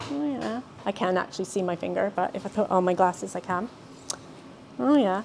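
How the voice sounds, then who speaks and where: Speaking with a Mid-Atlantic accent, this voice moves at a fairly quick pace with lively intonation, broken by long, frequent pauses. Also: woman, medium pitch for a woman. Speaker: wellbeing educator. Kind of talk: talk. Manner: halting.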